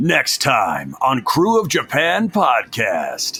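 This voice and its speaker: A man's put-on character voice, high-pitched and dramatic in tone, at a very slow pace. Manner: dramatic, epic trailer-style.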